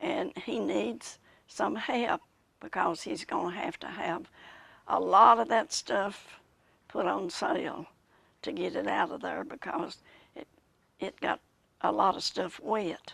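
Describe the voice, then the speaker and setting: In a Southern US accent, a woman with vocal fry speaks at a fairly slow pace, her pitch swinging very widely. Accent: Southern American. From Macon County, Tennessee. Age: 80s+. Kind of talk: interview answer.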